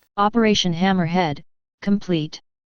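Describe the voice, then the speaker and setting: A woman with a medium-pitched voice performs a put-on character voice. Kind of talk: military debriefing. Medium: read story. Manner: flat, clipped.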